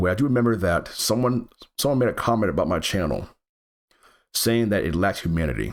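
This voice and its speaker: A man speaks at a fairly quick pace in a fairly low pitch, with vocal fry and lively intonation. His speech is broken by long, frequent pauses. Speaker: gaming YouTuber. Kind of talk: channel update talk to camera. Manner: halting, with repetitions.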